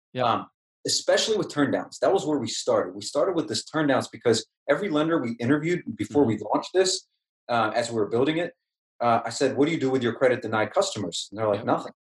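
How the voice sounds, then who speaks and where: A man's very fast, somewhat breathy speech with lively intonation. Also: fairly high pitch for a man. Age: 30s. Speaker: tech entrepreneur. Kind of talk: podcast interview.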